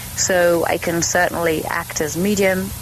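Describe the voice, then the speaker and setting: Someone with a British accent speaks with ordinary pitch variation over noticeable background noise. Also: woman. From Germany, then England. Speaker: animal communicator. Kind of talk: podcast interview.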